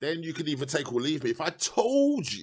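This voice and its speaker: In an English accent, a man speaks at a moderate pace with an animated tone. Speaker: political commentator. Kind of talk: political monologue. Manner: not exaggerated delivery.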